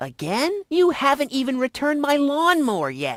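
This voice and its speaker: Someone puts on a high-pitched character voice. The pace is moderate. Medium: video game. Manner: dry, deadpan.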